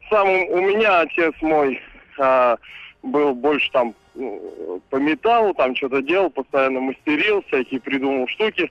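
The speech comes at a fairly slow pace with lively intonation. Noticeable background noise runs underneath. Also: man. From Ivanovo, central Russia. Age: 20s. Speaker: caller, young father and musician. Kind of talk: casual phone-in chat.

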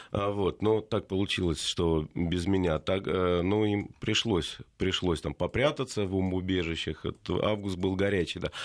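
A man with a very deep, low pitch speaks at a very slow pace with ordinary pitch variation and very even loudness. The recording is very clean, with a silent background. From Russia, Tula region. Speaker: poet and rock musician. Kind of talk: casual chat.

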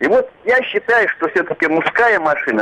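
A man speaks at a very slow pace. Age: old. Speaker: caller, former tank soldier. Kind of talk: phone-in comment. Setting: phone call.

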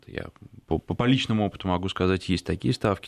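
Against a quiet background, a man's very deep, low voice carries vocal fry and lively intonation in a dry, close sound with no echo. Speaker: radio host. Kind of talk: radio interview.

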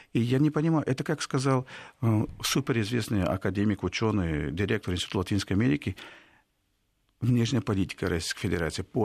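A man at a very fast pace with lively intonation, in a very clean recording with a silent background and a dry, close sound with no echo. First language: Spanish (speaking Russian). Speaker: professor and institute director. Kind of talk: radio interview. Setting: studio. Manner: halting, with hesitations.

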